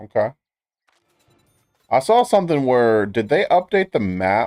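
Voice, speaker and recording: Over music in the background, a man speaks at a fairly slow pace with very wide pitch swings and very even loudness, in a dry, close sound with no echo. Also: medium pitch for a man. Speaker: gaming streamer. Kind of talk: casual live-stream chat.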